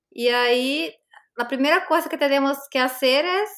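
Speaking with a Portuguese accent, this raised, projected voice has a bright, sharp tone and lively intonation at a fairly slow pace, captured on a very clean recording with a silent background. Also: woman. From Brazil. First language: Portuguese (speaking Spanish). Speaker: language teacher and school founder. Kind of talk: interview.

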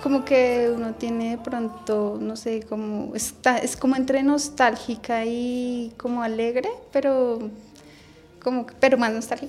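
A woman speaks at a fairly slow pace in a high voice with flat, monotone intonation while music plays in the background. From Bogotá, Colombia. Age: 30s. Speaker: early childhood education student. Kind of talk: radio interview, personal life story.

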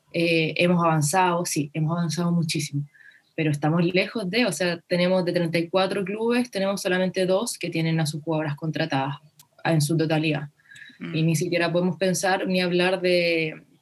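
Delivered in a normal speaking voice, the speech moves at a moderate pace with fairly even intonation. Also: woman, fairly low pitch for a woman. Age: 20s. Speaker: footballer and activist. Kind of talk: interview.

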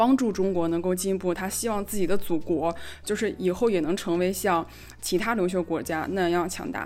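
The speaker is a woman of medium pitch. Behind her, background noise is noticeable. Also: ordinary pitch variation. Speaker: podcast co-host. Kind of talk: casual chat. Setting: voice call. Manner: fast; loud, gets excited.

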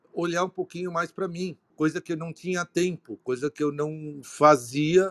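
A man with a high pitch and ordinary pitch variation speaks at a fairly slow pace, the sound dry and close with no echo. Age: 60s. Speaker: retired auto industry executive. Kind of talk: live-streamed panel talk. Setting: online live broadcast. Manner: hesitant, many fillers.

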